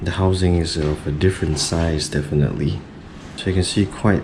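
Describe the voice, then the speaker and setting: Over noticeable background noise and audible room echo, a man speaks in a very deep, low pitch with ordinary pitch variation. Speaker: tech reviewer, vlogger. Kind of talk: unboxing tutorial. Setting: at home at midnight.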